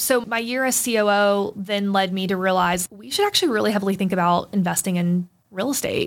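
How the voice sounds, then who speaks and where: On a very clean recording with a silent background, a woman with an American accent speaks at a very fast pace and medium pitch. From US South, Florida (Plant City, near Tampa). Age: 30s. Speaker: real estate entrepreneur. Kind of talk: interview conversation. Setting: studio. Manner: energetic, animated.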